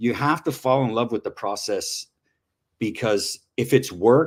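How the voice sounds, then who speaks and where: A man talks at a moderate pace in a plain, everyday voice with ordinary pitch variation. The recording is very clean with a silent background. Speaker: crypto trader presenting research tools. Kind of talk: live-streamed presentation.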